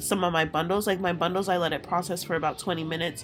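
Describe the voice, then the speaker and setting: A woman speaks with music in the background. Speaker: hair tutorial creator. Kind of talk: casual voiceover tutorial.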